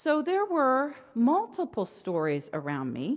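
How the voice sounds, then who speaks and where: A woman in an American accent with very wide pitch swings. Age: 50s. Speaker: religion scholar. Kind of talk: lecture.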